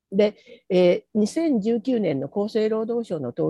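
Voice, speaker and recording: Her dark, mellow tone comes through a dry, close sound with no echo as the woman speaks at a very slow pace. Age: 70s. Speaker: retired teacher and maternal health NGO organizer. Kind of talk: online talk with slides.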